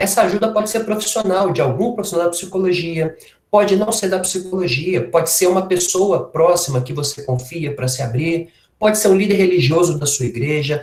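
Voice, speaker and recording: His pitch runs high for a man, and the intonation is lively. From Minas Gerais, Brazil. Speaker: workshop speaker on health. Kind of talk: informal lecture. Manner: casual, conversational.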